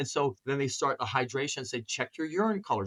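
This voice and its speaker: Using an ordinary speaking voice, a man talks at a fairly quick pace with a fairly high pitch and lively intonation, the sound dry and close with no echo. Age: 60s. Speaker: chiropractor. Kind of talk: interview.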